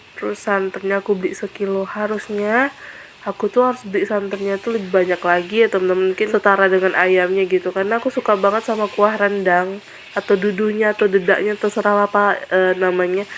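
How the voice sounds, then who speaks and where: The speech comes at a very fast pace in a monotone, flat delivery, with noticeable background noise. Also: woman, medium pitch for a woman. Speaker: cooking vlogger. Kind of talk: cooking vlog. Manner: casual, chatty.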